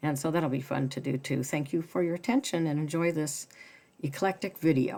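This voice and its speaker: Over a very clean recording with a silent background, a woman speaks at a very deep, low pitch in a dark, mellow tone with ordinary pitch variation. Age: 60s. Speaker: sewing hobbyist video host. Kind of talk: casual tutorial. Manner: casual, with filler words.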